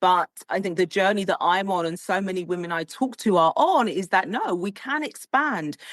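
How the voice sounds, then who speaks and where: With a British accent and a medium pitch, a woman talks at a moderate pace with lively intonation, the sound dry and close with no echo against a quiet background. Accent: British, very proper. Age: middle-aged. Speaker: style coach, tech executive. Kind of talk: interview conversation.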